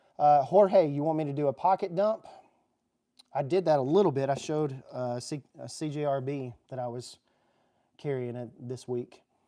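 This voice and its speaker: A man's dark, mellow, medium-pitched voice with a Southern US accent, at a moderate pace. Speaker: EDC YouTuber. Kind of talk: livestream chat. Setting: garage. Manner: animated.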